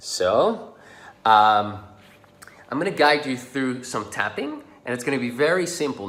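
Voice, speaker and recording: A man's voice with very wide pitch swings carries audible room echo. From Netherlands. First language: Dutch. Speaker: social confidence coach. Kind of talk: tutorial. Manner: casual.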